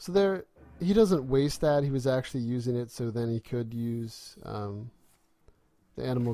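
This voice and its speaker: This man has a medium pitch and a dark, mellow tone, speaking at a moderate pace. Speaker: gaming commentator. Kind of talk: gameplay commentary. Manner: rising intonation at sentence ends; hesitant, many filler ums.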